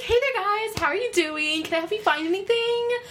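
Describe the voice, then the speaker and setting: A put-on character voice moves at a fairly quick pace over clear background noise. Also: woman, extremely high pitch for a woman. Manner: chirpy, overly friendly.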